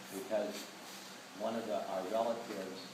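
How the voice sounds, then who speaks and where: Amid noticeable background noise and audible room echo, a man talks at a fairly low pitch. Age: 60s. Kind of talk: speech to an audience. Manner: emphatic.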